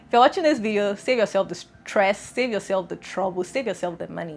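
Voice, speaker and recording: With music playing in the background, a woman talks fairly quickly at a medium pitch with ordinary pitch variation. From Nigeria. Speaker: lifestyle YouTuber. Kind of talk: casual vlog chat. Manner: fast; animated.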